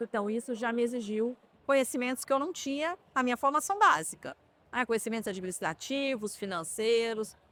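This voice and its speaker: With a Minas Gerais accent, a woman speaks at a high pitch and a moderate pace. Her intonation is lively, and the sound is dry and close with no echo. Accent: Minas Gerais (mineiro). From southwest Minas Gerais, Brazil. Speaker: healthcare company executive. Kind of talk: interview. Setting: trade fair podcast booth.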